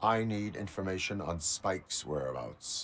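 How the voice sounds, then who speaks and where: A put-on character voice from a man, moderate in pace, with a very deep, low pitch. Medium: video game. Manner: flat, formal, deliberate.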